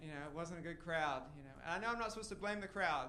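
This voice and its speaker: Over noticeable background noise and audible room echo, a man with a high pitch speaks very fast and with fairly even intonation. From Tennessee. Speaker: stand-up comedian. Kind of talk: stand-up. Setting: stage with audience.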